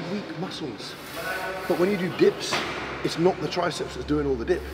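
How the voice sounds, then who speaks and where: Loud background noise surrounds a man speaking fairly quickly, his pitch shifting in an ordinary way. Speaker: bodybuilding coach. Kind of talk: interview answer. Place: gym.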